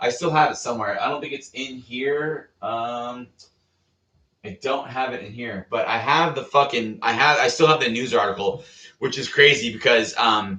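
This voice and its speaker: The speaker has a Californian accent and an animated tone. The pace is moderate. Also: man. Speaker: Coast Guard veteran. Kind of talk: casual storytelling vlog.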